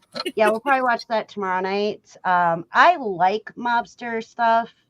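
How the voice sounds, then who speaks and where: Dry and close with no echo, a woman's fairly high-pitched voice moves at a fairly slow pace with an American accent and ordinary pitch variation. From Wisconsin, US Midwest (early childhood in Florida). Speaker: livestream host. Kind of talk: casual chat.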